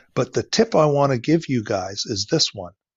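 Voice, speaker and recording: Using a Canadian accent, a man speaks at a fairly slow pace and medium pitch. His voice is somewhat breathy, with lively intonation. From Ontario, Canada. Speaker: veterinarian and flower farmer. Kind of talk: interview.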